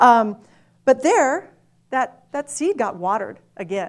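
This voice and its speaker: A woman's voice with very wide pitch swings. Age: 40s. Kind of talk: testimony.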